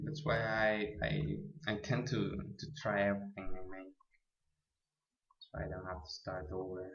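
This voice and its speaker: A man with a non-native accent talks at a fairly slow pace, taking long, frequent pauses. His voice is fairly low and somewhat breathy, with ordinary pitch variation. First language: not English. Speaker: programming tutorial maker. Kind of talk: tutorial. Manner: halting.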